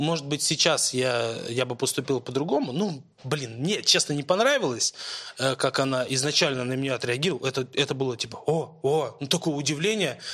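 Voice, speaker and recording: An ordinary speaking voice from a man with a fairly high pitch, ordinary pitch variation and a moderate pace. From Moscow, Russia. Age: 20s. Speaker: football blogger. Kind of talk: casual chat.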